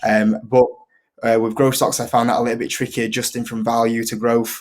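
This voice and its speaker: A man speaks with a strong Yorkshire accent. His pitch is medium. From northern England, Leeds, Yorkshire. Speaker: investing YouTuber. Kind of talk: casual interview chat. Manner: hesitant, many fillers.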